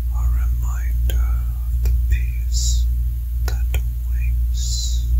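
A soft-spoken, menacing whisper at a very slow pace. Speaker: character narrator. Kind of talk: sleep story narration in character. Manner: soft menacing whisper, villain lion.

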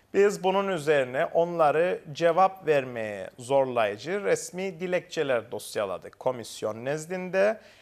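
At a very slow pace yet with hardly any pauses, a man talks in a high voice with lively intonation. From Cyprus. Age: 30s. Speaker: lawyer; interviewee. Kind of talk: interview; interview answer. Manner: formal; hesitant with fillers.

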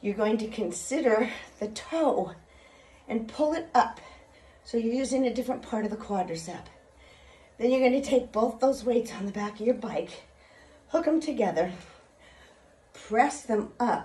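A woman at a moderate pace, with ordinary pitch variation and long, frequent pauses. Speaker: fitness instructor. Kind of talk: workout instruction. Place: home room. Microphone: phone near.

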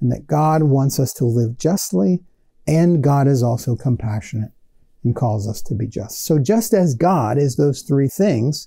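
A dark, mellow tone carries a slightly husky edge and vocal fry. Intonation is lively at a fairly slow pace. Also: man, medium pitch for a man.

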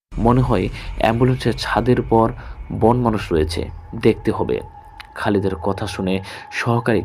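Fairly low male speech, ordinary in pitch variation, set against noticeable background noise. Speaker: horror story narrator / radio-style host. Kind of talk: horror story narration read from an emailed account.

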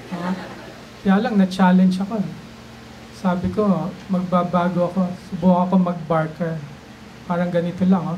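Soft-spoken and high-pitched for a man, he talks in a flat monotone at a moderate pace, with long, frequent pauses and light background noise. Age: old. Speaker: stand-up comedian, doctor. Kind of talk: stand-up comedy set. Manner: soft-spoken, low energy. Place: bar. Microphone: handheld.

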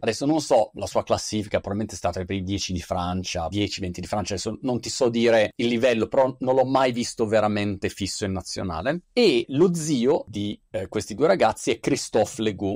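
A man talks at a fairly quick pace with hardly any pauses and lively intonation. The background is quiet and the sound is dry with no echo. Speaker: show host. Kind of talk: casual commentary and personal anecdote. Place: home room.

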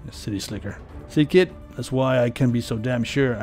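A gruff, put-on character voice talks at a fairly quick pace with music playing in the background. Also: man, medium pitch for a man.

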